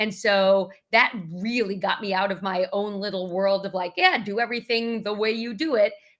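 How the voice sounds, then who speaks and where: Speaking at a moderate pace with hardly any pauses, a woman uses a medium pitch and fairly even intonation. The recording is very clean, with a silent background. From New York. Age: 50s. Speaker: leadership communication coach. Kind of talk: interview.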